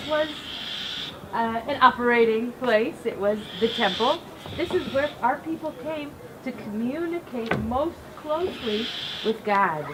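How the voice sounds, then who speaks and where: At a fairly slow pace with long, frequent pauses, a woman with an American accent speaks at a high pitch with lively intonation over noticeable background noise. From US Midwest (Cleveland, Ohio). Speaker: rabbi. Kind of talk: guided tour talk at a ceremony.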